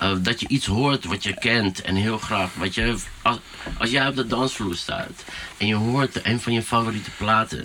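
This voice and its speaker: Amid noticeable background noise, a man talks at a moderate pace and medium pitch with ordinary pitch variation. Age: 40s. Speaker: DJ and music producer. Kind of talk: casual chat. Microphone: poorer sound quality.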